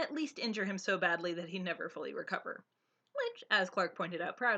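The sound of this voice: Over a quiet background, someone reads in an unforced voice.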